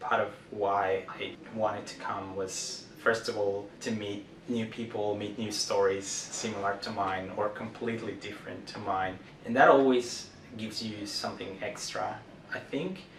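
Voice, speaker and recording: Amid noticeable background noise and audible room echo, a man with a fairly low pitch speaks at a fairly slow pace, his intonation fairly even but his loudness swinging widely. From Mexico, Guadalajara. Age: 30s. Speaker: community member interviewee. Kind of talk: personal testimony interview.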